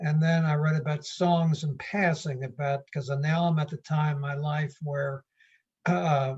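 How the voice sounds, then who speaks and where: A man's fairly high, somewhat breathy voice at a fairly slow pace, with fairly even intonation. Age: 70s. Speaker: poet. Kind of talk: casual chat. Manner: halting.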